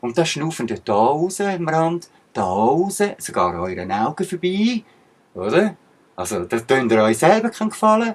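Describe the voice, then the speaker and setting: A man talks very slowly with a Swiss accent. His pitch swings very widely. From Switzerland. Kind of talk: casual talk to camera.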